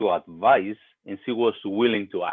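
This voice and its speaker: In a Spanish accent, a man speaks fairly slowly at a fairly low pitch. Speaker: pastor. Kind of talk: sermon. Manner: hesitant, many fillers.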